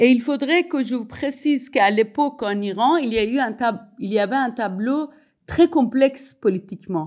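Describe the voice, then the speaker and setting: In a Persian accent, a woman speaks at a moderate pace with a high pitch and lively intonation, on a very clean recording with a silent background. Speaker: sociologist and writer. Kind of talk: public talk. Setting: evening event with audience. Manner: halting, many hesitations.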